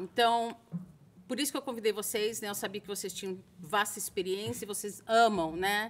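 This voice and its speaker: With a plain, everyday voice, a woman talks at a moderate pace in a medium pitch. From Brazil, Santos (São Paulo state). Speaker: school international admissions coordinator, interviewer. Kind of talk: interview videocast. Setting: studio. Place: stage. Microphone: studio mic.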